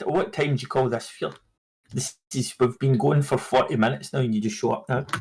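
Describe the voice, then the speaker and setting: Speaking with a Scottish accent at a fairly quick pace, a man has medium pitch, ordinary pitch variation and a somewhat breathy voice. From Scotland. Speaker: podcast co-host. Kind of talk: casual chat.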